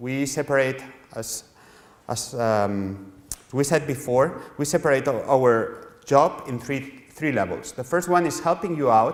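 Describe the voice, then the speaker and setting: There is noticeable background noise as a man with a Spanish accent speaks with ordinary pitch variation. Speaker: publishing editor. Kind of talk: lecture. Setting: workshop with audience. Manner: halting, with frequent repetitions.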